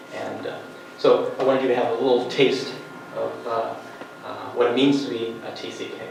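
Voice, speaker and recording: Male speaker at a moderate pace amid noticeable background noise and audible room echo. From third culture kid, raised in many countries. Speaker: workshop presenter, graduate student. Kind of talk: conference workshop presentation. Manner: halting, many fillers.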